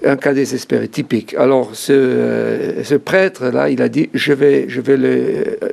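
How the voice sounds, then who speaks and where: A man speaks at a very slow pace with hardly any pauses, over noticeable background noise. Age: 60s. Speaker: author giving life testimony. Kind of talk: interview testimony. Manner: halting.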